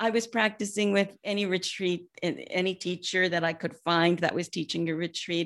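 Moderate pacing and fairly even intonation in an American accent, on a very clean recording over a silent background. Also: woman. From US West Coast, San Francisco Peninsula. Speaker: Buddhist teacher and author. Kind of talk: interview conversation.

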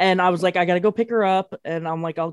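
In a normal speaking voice, a woman talks at a medium pitch with fairly even intonation, and the sound is dry and close with no echo. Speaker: podcast producer, sports fan. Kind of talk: casual chat.

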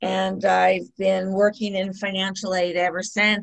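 A woman with an ordinary speaking voice and an American accent, medium pitch and a fairly slow pace. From US West Coast, San Diego County. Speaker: college financial aid director. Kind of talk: interview.

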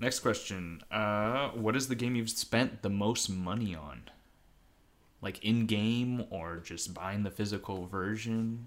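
Very slowly, a man speaks at a fairly low pitch with ordinary pitch variation. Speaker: guest co-host, gamer. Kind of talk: casual chat.

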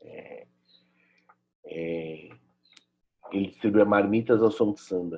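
A man with a fairly low pitch speaks very slowly, pausing long and often, with ordinary pitch variation. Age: 30s. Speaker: visual artist and social educator. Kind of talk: personal testimony and commentary. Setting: at home.

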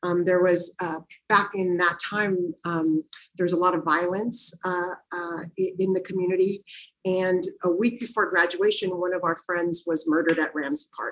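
Speaking with an American accent, this is a plain, everyday voice. The pace is fairly slow and the intonation fairly even. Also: woman, fairly low pitch for a woman. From Watsonville, California (US). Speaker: nonprofit executive director. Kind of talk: interview conversation.

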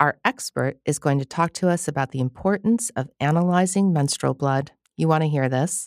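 In a dry, close sound with no echo, a woman with a very deep, low pitch speaks at a moderate pace with ordinary pitch variation and hardly any pauses. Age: 50s. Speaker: podcast host. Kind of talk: casual chat; scripted narration.

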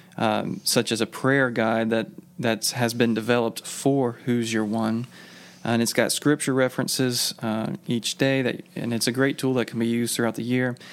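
Intonation stays fairly even throughout. It is an ordinary speaking voice delivered at a moderate pace. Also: man, medium pitch for a man. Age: 30s. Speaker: church minister. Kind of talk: casual chat.

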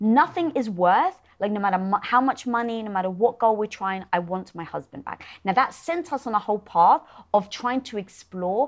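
With a British accent, a woman speaks at a moderate pace and medium pitch, her intonation lively. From Britain. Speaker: entrepreneur and show host. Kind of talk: interview conversation.

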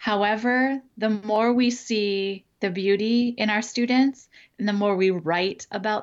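At a fairly slow pace, a woman with a plain, everyday voice talks at medium pitch and with fairly even intonation. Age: 40s. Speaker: inclusive education consultant, former professor. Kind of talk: interview conversation.

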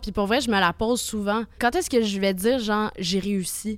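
In a Quebec accent, a woman speaks at medium pitch with ordinary pitch variation. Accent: Québécois French. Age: 20s. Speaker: singer-songwriter. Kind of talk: casual interview.

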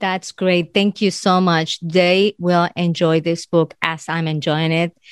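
In a very clean recording with a silent background and a dry, close sound with no echo, the speaker talks very slowly in a flat monotone with a non-native accent. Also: woman, fairly low pitch for a woman. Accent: foreign. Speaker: podcast host, life coach. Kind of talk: interview.

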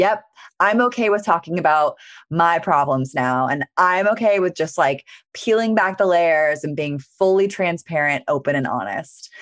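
A woman with a plain, everyday voice speaks at a moderate pace, her fairly low pitch carrying lively intonation against a quiet background. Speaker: podcast host. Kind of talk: casual interview chat.

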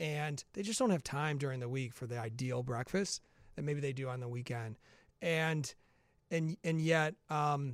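With an American accent, a man talks at a moderate pace in a fairly high pitch and fairly even intonation, on a very clean recording with a silent background. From Chicago area, US Midwest. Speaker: food startup co-founder. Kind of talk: interview. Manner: repeats words at times.

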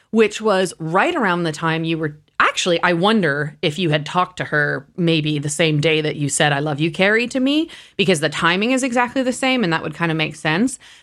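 With a plain, everyday voice, a woman talks at a fairly quick pace in a fairly low pitch, her intonation lively. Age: 40s. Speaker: podcast host and producer. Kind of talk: casual chat.

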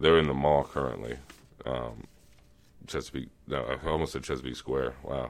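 At a moderate pace broken by long, frequent pauses, a man speaks with a very deep, low pitch, vocal fry and fairly even intonation. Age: 30s. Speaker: sales account executive. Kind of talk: casual chat.

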